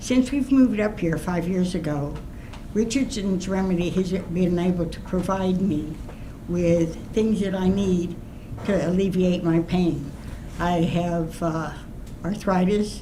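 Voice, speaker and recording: Over audible room echo, a woman talks at a fairly slow pace with a medium pitch and ordinary pitch variation. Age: 80s+. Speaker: resident speaking at public hearing. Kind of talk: public comment.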